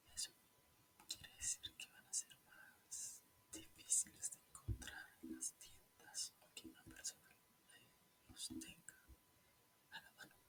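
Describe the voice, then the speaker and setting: Whispering at a very slow pace, with long, frequent pauses. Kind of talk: ASMR whispered chat. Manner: whispered.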